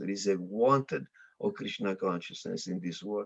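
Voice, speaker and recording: A man talks with an Italian accent. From Italy. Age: 60s. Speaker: monk. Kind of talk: interview. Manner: halting.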